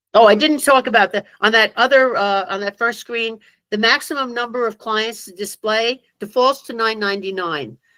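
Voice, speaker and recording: A woman speaks at a fairly high pitch with ordinary pitch variation. Her loudness swings widely, and she hardly pauses. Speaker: tax software trainer. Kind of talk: online training presentation. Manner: fast; hesitant, many fillers.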